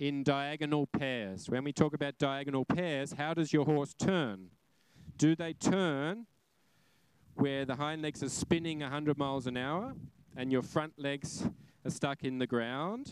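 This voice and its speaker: With an Australian accent, a man talks at a fairly slow pace in a fairly high pitch, with ordinary pitch variation. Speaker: horse trainer. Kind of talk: live demonstration lecture. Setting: arena with audience. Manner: animated.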